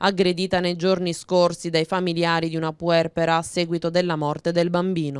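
A woman speaks in a normal speaking voice at a fairly low pitch. The sound is dry and close, with no echo. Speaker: local TV news presenter and street reporter. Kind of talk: news reading.

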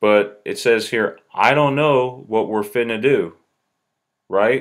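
Very slow delivery with fairly even intonation in an American accent. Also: man, quiet background. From US South. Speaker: YouTuber. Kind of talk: casual video commentary. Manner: halting, many fillers. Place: home room. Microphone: webcam.

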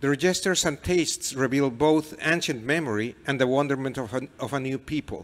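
Speaking with a Mexican accent, a man moves at a fairly quick pace with hardly any pauses and ordinary pitch variation. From Mexico. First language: Spanish. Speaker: novelist. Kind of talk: reading aloud and onstage interview. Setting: stage with audience. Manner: halting. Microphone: handheld.

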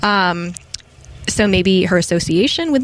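A woman's lively intonation comes through at a moderate pace, with noticeable background noise behind her. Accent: American. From Massachusetts, near Boston. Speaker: historian. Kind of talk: casual interview.

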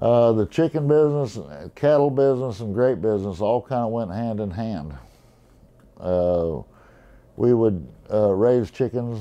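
A man talks at a fairly slow pace in a fairly low voice. His tone is dark and mellow, with ordinary pitch variation.

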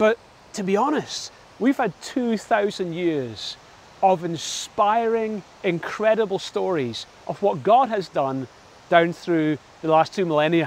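A man talks at a very slow pace with lively intonation. The sound is dry, with no echo. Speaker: pastor. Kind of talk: sermon. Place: waterside. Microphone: lapel.

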